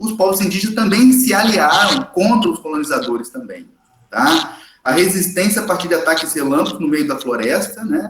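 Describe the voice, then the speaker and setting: This man's voice sits high in pitch. It moves through very wide pitch swings. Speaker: history teacher. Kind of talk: lecture. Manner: fast; animated.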